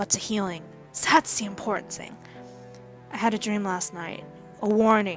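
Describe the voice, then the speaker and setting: A woman at medium pitch and moderate pace, intonation fairly even, with music in the background. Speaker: reading teacher. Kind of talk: audiobook reading of young adult fiction.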